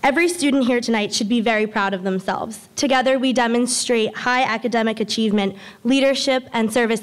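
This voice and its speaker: Her pace is fairly quick. The woman's pitch varies in an ordinary way. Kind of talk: formal speech. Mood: grateful, earnest. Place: hall. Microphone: podium.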